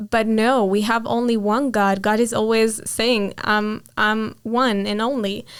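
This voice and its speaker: Someone speaks at a very slow pace in an Israeli accent on a very clean recording with a silent background. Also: woman. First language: Hebrew. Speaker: interviewee sharing faith story. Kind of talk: testimony. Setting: interview.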